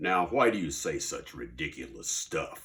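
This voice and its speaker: A man puts on a character voice that is growling and gruff. He speaks at a moderate pace. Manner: annoyed, indignant.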